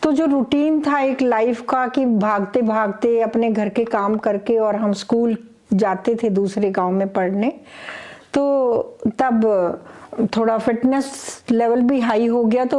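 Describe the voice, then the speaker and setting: Amid noticeable background noise, a woman with a fairly high pitch speaks at a very even loudness and with fairly even intonation. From Haryana, India (Jind). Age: 60s. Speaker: gold medalist athlete. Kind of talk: interview.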